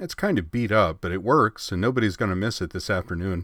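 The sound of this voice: An unforced reading voice shows ordinary pitch variation.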